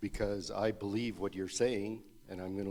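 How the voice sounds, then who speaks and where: The recording is very clean, with a silent background. The tone is dark and mellow, and the intonation stays monotone and flat. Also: man. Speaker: church member in discussion. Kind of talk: group discussion. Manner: loud.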